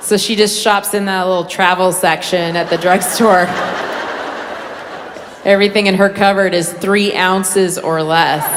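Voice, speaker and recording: Against noticeable background noise, a woman with an American accent speaks at a moderate pace and medium pitch, her intonation monotone and flat, with long, frequent pauses. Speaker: stand-up comedian. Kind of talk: stand-up comedy set.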